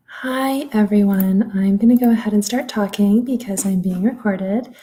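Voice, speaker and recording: Soft-spoken and somewhat breathy, a woman with a fairly high pitch has a dark, mellow tone and ordinary pitch variation. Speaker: legal aid worker. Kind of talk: public presentation.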